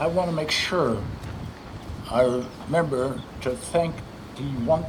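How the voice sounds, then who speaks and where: A man speaks with ordinary pitch variation. Audible room echo and noticeable background noise surround his voice. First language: not English. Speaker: former state senator and philanthropist. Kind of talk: ceremony speech. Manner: halting.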